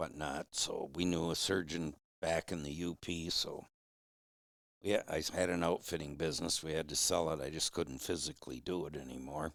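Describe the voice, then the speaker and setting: The man has a very deep, low pitch and vocal fry. His intonation stays fairly even. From Michigan. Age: 70s. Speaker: hound hunter. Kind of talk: casual interview. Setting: in person, Upper Peninsula.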